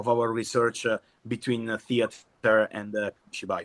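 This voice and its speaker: A man with an Italian accent speaks at a medium pitch and a fairly slow pace. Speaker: kamishibai performer. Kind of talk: workshop presentation. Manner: halting.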